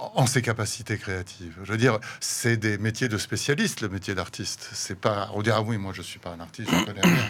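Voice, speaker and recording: Here a man is talking. His pace is moderate. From France, Paris. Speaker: painter and visual artist. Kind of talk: radio interview. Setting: studio. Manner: halting, many repetitions.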